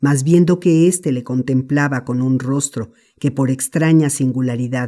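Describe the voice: What you hear is plain reading aloud.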